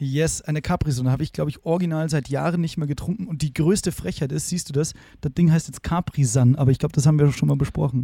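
Very fast speech with ordinary pitch variation. The tone is dark and mellow, and somewhat breathy. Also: man, fairly high pitch for a man. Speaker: podcast co-host. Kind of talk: casual chat. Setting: video call.

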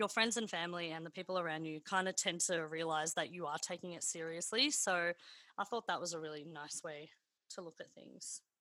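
A woman with an Australian accent talks very fast in a fairly low, bright, sharp voice, recorded very cleanly against a silent background. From Melbourne, Australia (northern suburbs). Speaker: podcast host, singer. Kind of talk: casual interview.

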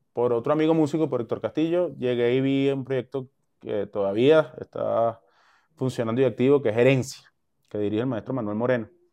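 A man in a Caracas Venezuelan accent, medium pitch with ordinary variation, a dark, mellow tone and a quiet background. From Caracas, Venezuela (El Valle). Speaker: musician and producer. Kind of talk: casual chat. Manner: animated.

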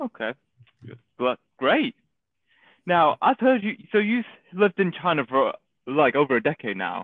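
Taking long, frequent pauses, a man with a Manchester accent and a high pitch speaks at a moderate pace with very wide pitch swings and big swings in loudness. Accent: Mancunian northern English. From Manchester, England. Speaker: podcast host. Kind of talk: casual interview chat.

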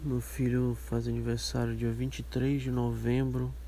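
A man's very deep, low voice in monotone, flat intonation at a fairly slow pace, with audible room echo. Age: 30s. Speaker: podcast host. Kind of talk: casual monologue. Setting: outdoors in garden.

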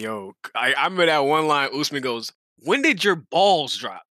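On a very clean recording with a silent background and a dry, close sound with no echo, a man talks with a bright, sharp tone and lively intonation. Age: 20s. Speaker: podcast guest, combat sports fan. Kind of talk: casual chat.

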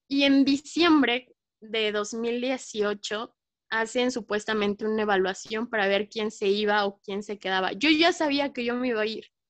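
A woman with a fairly high pitch, ordinary pitch variation and a fairly slow pace. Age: 20s. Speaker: journalist and photojournalist. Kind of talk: interview. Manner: animated.

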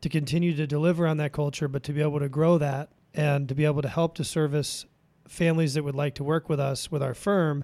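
A man with an American accent, fairly high-pitched, in a monotone with flat intonation, on a very clean recording with a silent background. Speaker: financial advisor. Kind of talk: casual chat. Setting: studio.

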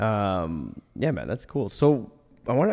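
A man with a Canadian accent and a dark, mellow tone is heard in a very clean recording with a silent background. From Ottawa, Canada. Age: 20s. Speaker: podcast host. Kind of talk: casual interview chat; sponsor read. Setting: studio.

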